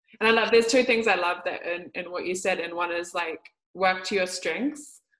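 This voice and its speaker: A woman speaks at a medium pitch. She has a New Zealand accent. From New Zealand, Māori. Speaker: podcast host and Māori healing teacher. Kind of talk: casual interview chat.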